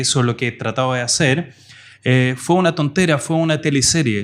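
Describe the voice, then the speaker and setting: In a very clean recording with a silent background, a man talks at a moderate pace in a fairly high pitch. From France, of Portuguese parents. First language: French (speaking Spanish). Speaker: digital marketing professor. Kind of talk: interview podcast.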